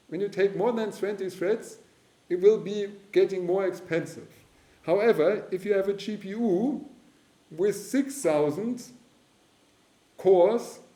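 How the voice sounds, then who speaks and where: Amid noticeable background noise and audible room echo, a man with a high pitch speaks at a fairly slow pace, with long, frequent pauses and ordinary pitch variation. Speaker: university lecturer. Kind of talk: lecture. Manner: halting.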